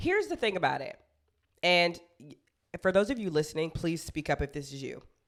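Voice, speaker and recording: A woman's fairly low voice at a fairly quick pace, with big swings in loudness, long and frequent pauses, and ordinary pitch variation. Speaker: podcast co-host. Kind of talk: casual chat. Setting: video podcast recording. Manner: fast.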